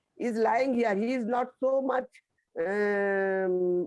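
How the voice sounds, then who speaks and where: A woman speaks very slowly at a medium pitch. Her pitch varies in an ordinary way. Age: 60s. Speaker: session participant. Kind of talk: personal testimony. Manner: halting.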